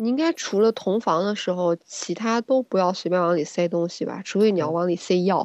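An ordinary speaking voice from a woman at medium pitch, fairly quick, with ordinary pitch variation and a dry, close sound with no echo. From China, small town. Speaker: gynecologist and co-host. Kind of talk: casual chat.

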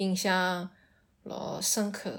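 In a very clean recording with a silent background, a woman speaks at a medium pitch with monotone, flat intonation. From Shanghai. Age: 30s. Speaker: storyteller guest. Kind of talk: personal storytelling. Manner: halting.

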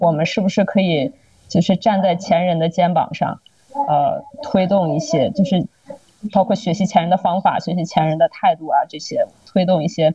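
The speech moves at a moderate pace with ordinary pitch variation, and the sound is dry and close with no echo. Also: woman, medium pitch for a woman. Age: 30s. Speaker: podcast guest. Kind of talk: casual chat. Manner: halting, many fillers and repeats.

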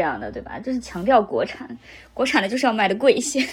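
In a very clean recording with a silent background, a woman with a high pitch speaks with lively intonation. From Henan, central China. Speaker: podcast host. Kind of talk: casual chat.

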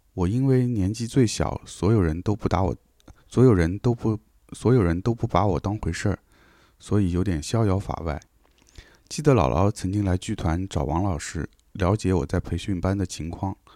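In a very clean recording with a silent background, a man speaks at a moderate pace with a very deep, low pitch, a dark, mellow tone and ordinary pitch variation. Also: dry, close sound with no echo. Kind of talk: reading aloud.

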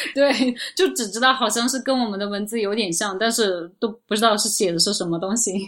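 A woman with an ordinary speaking voice talks at a fairly quick pace in a fairly high pitch with ordinary pitch variation. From Urumqi, Xinjiang, China. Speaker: travel agency owner. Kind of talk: casual chat.

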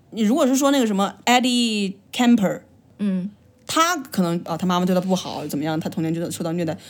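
Speaking at a very fast pace, a woman with a Changsha accent and a medium pitch uses lively intonation. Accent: Changsha-accented Mandarin. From China, Changsha (Hunan). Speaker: podcast co-host. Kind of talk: casual chat.

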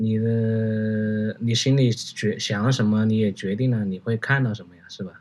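A monotone, flat delivery in a Hunan accent at a fairly slow pace. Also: man. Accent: Hunan-accented Mandarin. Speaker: commercial fashion photographer. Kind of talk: casual chat.

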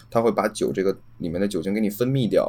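A man's voice at a very fast pace, with ordinary pitch variation. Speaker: podcast host (guest). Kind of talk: casual chat. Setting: online call recording.

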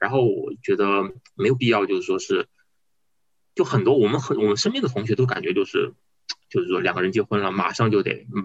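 A man talks at a fairly quick pace. He takes long, frequent pauses. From Guizhou, China (Guiyang). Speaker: podcast guest, father. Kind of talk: casual conversation. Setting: remote call across time zones.

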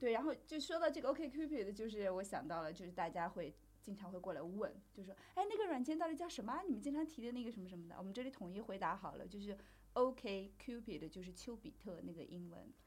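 Woman's somewhat breathy voice at a medium pitch, very fast in pace, with very wide pitch swings. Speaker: podcast host on sex and relationships. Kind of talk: casual chat.

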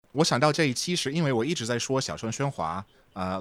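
A man's voice moves through very wide pitch swings on a very clean recording with a silent background. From Texas. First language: English (speaking Chinese). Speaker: podcast editor and translator. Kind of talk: casual chat.

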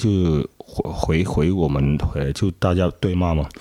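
With a Cantonese accent, a man speaks in a very deep, low pitch with a dark, mellow tone. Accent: Cantonese-accented Mandarin. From Guangzhou, southern China. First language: Cantonese (speaking Chinese). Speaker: nightlife worker. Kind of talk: interview testimony. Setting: old house at night. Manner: halting.

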